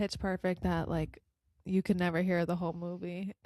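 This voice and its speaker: A soft-spoken woman at a medium pitch, in a very clean recording with a silent background and a dry, close sound with no echo. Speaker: podcast co-host. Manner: very quiet, soft-spoken.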